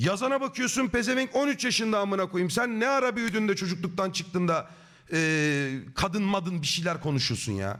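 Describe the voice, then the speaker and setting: The speaker's tone is animated, with lively intonation and a moderate pace. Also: man, high pitch for a man. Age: 30s. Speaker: streamer. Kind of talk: live stream chat.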